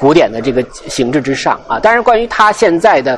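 Very wide pitch swings from a man at a fairly high pitch and fairly quick pace, with noticeable background noise. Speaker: art guide and podcast host. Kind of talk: guided gallery tour talk. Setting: museum exhibition hall with visitors.

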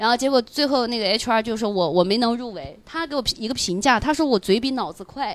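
A woman talks at a fairly quick pace with hardly any pauses. Her fairly high voice has an animated tone and lively intonation. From rural village, not Beijing or Shanghai. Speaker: stand-up comedian and podcast co-host. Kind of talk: casual chat. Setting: live recording with audience.

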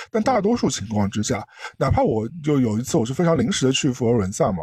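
Talking at a fairly quick pace, a man has a somewhat breathy voice with a dark, mellow tone. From Shanghai, China. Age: middle-aged. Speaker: podcast co-host. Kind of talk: casual chat.

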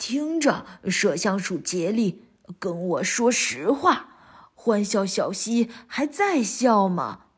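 Using a put-on character voice, a woman speaks very slowly in a shrill, fairly high pitch on a very clean recording with a silent background. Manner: shrill, shrieking question.

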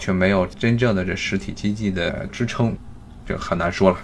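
A man's fairly low voice with monotone, flat intonation and a moderate pace amid noticeable background noise. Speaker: podcast host. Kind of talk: solo commentary. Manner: conversational, many fillers.

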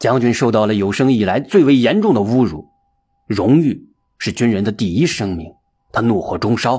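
Lively intonation in a natural reading voice, quiet behind it

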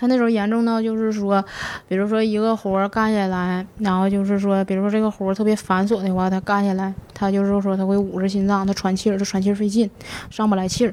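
A woman with a Northeastern Chinese accent speaks at a very fast pace, with a medium pitch. Her intonation is monotone and flat, and her loudness stays very even. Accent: Northeastern Mandarin. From Northeast China. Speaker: mortician. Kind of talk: interview storytelling. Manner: halting, stammering repetitions.

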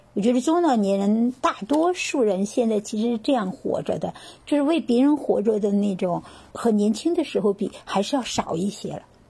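A woman speaks in a dark, mellow, somewhat breathy tone at fairly high pitch. Her intonation is lively and her pace moderate. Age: 50s. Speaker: retiree and yoga practitioner. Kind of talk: casual interview.

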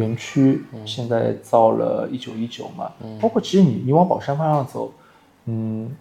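The pace is very slow as a man speaks. Background noise can be clearly heard. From Shanghai, Wusong (Baoshan). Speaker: fashion industry worker and food enthusiast. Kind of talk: reminiscing conversation.

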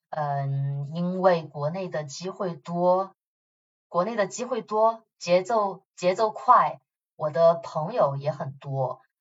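At a very slow pace, a woman speaks in a fairly low, somewhat breathy voice with ordinary pitch variation. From Chongqing, southwest China. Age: 30s. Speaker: marketing manager and nonprofit co-founder. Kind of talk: interview conversation. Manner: animated; hesitant fillers.

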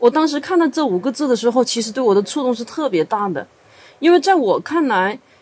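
This voice moves at a fairly quick pace with very wide pitch swings. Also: woman, high pitch for a woman. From Hunan, China. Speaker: writer and university teacher. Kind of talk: podcast discussion.

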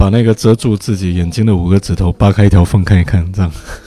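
A fairly low-pitched man with a strong Taiwanese accent, fairly even intonation and a very fast pace. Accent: Taiwanese idol-drama-like Mandarin, strong. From southern Fujian, Quanzhou. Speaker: podcast guest. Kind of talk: casual chat.

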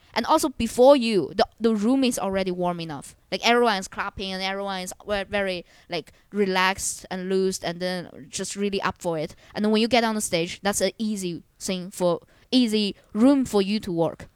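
A woman with a Chinese accent speaks at a medium pitch on a very clean recording with a silent background. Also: ordinary pitch variation, moderate pace. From China. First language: Mandarin Chinese. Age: 20s. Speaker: stand-up comedian. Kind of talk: casual chat.

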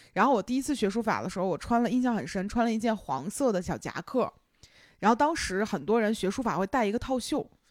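With a Beijing accent, a woman talks very fast at a fairly high pitch, recorded very cleanly against a silent background. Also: lively intonation. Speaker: podcast host. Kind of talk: casual chat.

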